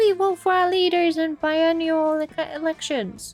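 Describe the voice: A put-on character voice moves at a moderate pace over faint music in the background. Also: woman, extremely high pitch for a woman.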